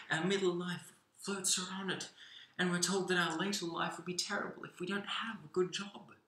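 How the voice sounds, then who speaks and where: A man's raised, projected voice, high in pitch, with audible room echo. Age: 20s. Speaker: spoken word poet. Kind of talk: spoken word poem performance, impassioned and rhythmic. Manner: energetic, animated, emphatic; repetitive, halting restarts. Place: home room. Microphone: webcam.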